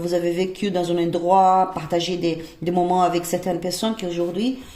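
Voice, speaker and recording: Speaking at a moderate pace with a non-native accent, a woman's fairly low voice carries audible room echo. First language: not French (speaking French). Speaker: tarot reader. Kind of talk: tarot reading. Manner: halting, many hesitations.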